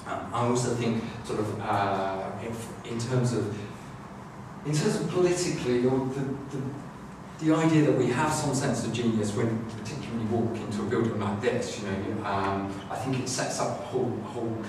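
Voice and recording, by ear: Audible room echo surrounds a man speaking at medium pitch and a moderate pace with ordinary pitch variation.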